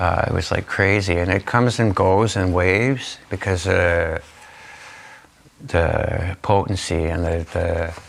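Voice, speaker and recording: Noticeable background noise sits behind a man with a Canadian accent. His pitch is fairly low, with ordinary variation. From Niagara region, Ontario, Canada. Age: 50s. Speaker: community volunteer who reverses overdoses. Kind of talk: interview answer. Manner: casual, conversational.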